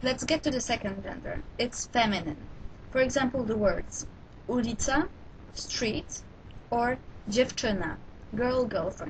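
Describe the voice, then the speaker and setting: Over noticeable background noise, a woman with a high voice speaks at a fairly slow pace, with ordinary pitch variation and long, frequent pauses. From Poland. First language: Polish. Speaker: language teacher. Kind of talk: tutorial.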